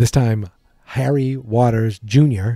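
A man with a dark, mellow tone and medium pitch speaks with ordinary pitch variation, the sound dry with no echo against a quiet background. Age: 40s. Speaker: podcast host. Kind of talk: casual monologue. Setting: home studio. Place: studio.

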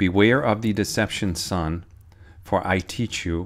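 In a solemn, intense tone, a man speaks with a very deep, low pitch and ordinary pitch variation. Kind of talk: sermon-style prophetic teaching, reading a received prayer message. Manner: earnest, urgent, warning tone; fervent, solemn prayer-like delivery with intense urgent pleas. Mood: solemn, earnest. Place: home room. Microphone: phone near.

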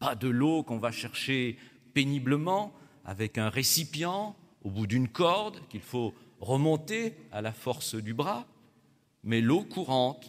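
Against a quiet background, a man speaks at a very slow pace with long, frequent pauses and very wide pitch swings. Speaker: Protestant pastor. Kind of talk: sermon. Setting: church. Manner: formal, didactic. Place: church. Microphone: podium.

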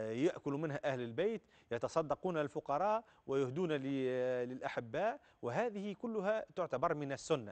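A man with a fairly high pitch talks at a fairly slow pace against a quiet background. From Tunisia. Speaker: religious scholar answering callers; caller. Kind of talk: call-in religious Q&A. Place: studio. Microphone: lapel.

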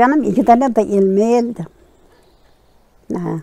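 The woman's voice sits at a fairly high pitch. The sound is dry, with no echo. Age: 80s+. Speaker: village grandmother telling her life story. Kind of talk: interview answer, life story chat. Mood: sorrowful, telling of losses. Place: open country.

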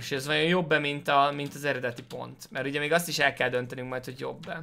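A man with a bright, sharp tone, fairly high pitch, fairly even intonation and a very fast pace. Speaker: gaming streamer. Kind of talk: let's play commentary. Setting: home. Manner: halting.

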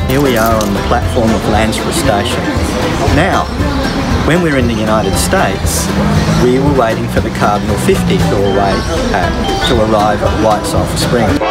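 A man at a moderate pace with long, frequent pauses, loud music in the background. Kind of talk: casual vlog chat. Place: station. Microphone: phone near.

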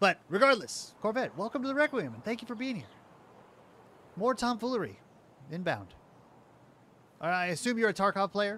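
This man has a high pitch, a bright, sharp tone and lively intonation, mumbling at a fairly quick pace with long, frequent pauses and big swings in loudness. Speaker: gaming streamer. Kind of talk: casual chat. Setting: live stream.

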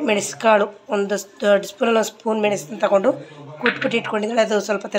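Over light background noise, a woman speaks in a fairly high pitch. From Mysore, Karnataka; Karnataka, India. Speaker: cooking vlogger. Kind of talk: casual cooking vlog. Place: kitchen. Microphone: phone near.

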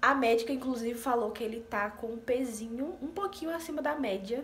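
Light background noise is present. Over it, a woman talks, her pitch varying in an ordinary way. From Paraíba, Northeast Brazil. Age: 20s. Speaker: vlogger, nursing technician. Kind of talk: casual talk to camera. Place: home room. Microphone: phone near.

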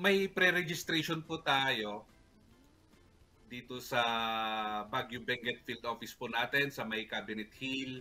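Faint music plays in the background. A man talks at a fairly slow pace with ordinary pitch variation. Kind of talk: interview answer. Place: home room. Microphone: earbuds.

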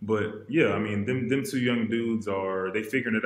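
There is audible room echo as a man speaks at a moderate pace with fairly low pitch and fairly even intonation. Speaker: professional basketball player; podcast guest. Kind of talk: casual chat. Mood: relaxed, casual. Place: home room.

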